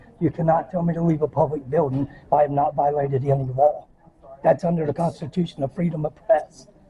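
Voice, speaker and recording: A man rattles along at a very fast pace in a fairly high voice. Noticeable background noise runs underneath. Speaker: citizen journalist filming public officials. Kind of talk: heated argument with police officer. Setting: inside a public government building. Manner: animated, gestures while talking.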